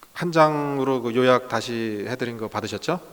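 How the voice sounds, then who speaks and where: Medium pitch from a man at a very slow pace, with ordinary pitch variation. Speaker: pastor, guest lecturer. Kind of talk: lecture. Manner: slow, deliberate; hesitant, many fillers.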